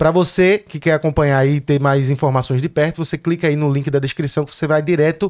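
A man talks very rapidly. The recording is dry and close, with no echo. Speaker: podcast host. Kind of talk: casual interview chat; sponsor read. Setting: studio.

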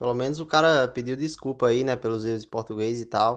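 A man speaks in a normal speaking voice at medium pitch and a moderate pace. His intonation is fairly even, and the background is quiet. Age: 20s. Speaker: podcast guest. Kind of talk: casual chat.

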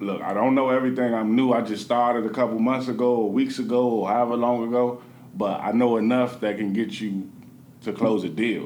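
Audible room echo surrounds a man with an American accent who speaks at a fairly quick pace with fairly even intonation. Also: medium pitch for a man. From Washington, D.C., Southeast. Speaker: real estate investor and meetup organizer. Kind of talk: podcast interview.

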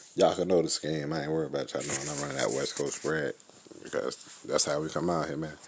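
A man speaks very fast in a very deep, low voice with flat, monotone intonation over noticeable background noise. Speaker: podcast host and sim football league coach. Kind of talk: casual solo podcast monologue. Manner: subdued, toned down, quieter than usual; repetitive, filler-heavy.

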